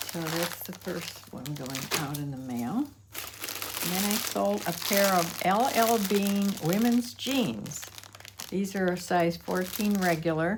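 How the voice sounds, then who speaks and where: Very slow speech from a woman with a fairly low pitch and very wide pitch swings, with audible room echo and noticeable background noise. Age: 80s+. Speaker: online reseller. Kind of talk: casual vlog show-and-tell. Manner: halting, with frequent fillers.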